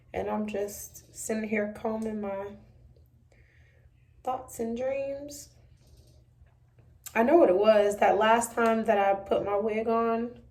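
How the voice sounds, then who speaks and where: A woman's voice in a room with audible echo, at a very slow pace with long, frequent pauses and fairly even intonation. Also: fairly high pitch for a woman. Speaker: beauty vlogger. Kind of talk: tutorial. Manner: casual, chatty.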